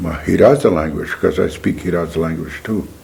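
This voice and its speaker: Over noticeable background noise, a man speaks with a North Dakota accent. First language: Mandan. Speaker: Native language elder. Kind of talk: interview testimony.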